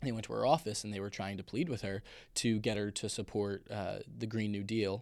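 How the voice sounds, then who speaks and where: Speaking at a fairly quick pace, a man with an American accent has an unremarkable speaking voice, a fairly low pitch and ordinary pitch variation, recorded very cleanly with a silent background. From Long Island, New York. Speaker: student podcast host. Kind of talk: casual interview.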